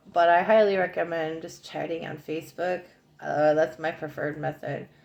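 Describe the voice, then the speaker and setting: A woman mumbles at a moderate pace in a fairly low voice. The background is quiet. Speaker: psychic card reader. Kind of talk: oracle card reading monologue. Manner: mumbling; casual, rambling with fillers.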